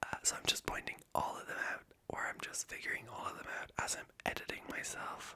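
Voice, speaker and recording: Whispering at a moderate pace, the speaker has a slight Irish accent. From Ireland. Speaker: ASMR creator. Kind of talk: whispered ASMR ramble. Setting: home recording at night. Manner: rambling with many fillers.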